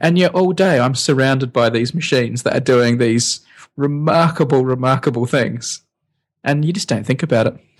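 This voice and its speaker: With an Australian accent, a man speaks at a moderate pace. His pitch varies in an ordinary way. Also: medium pitch for a man. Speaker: podcast co-host, science video maker. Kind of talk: casual chat. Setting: home recording with poorly set up microphone.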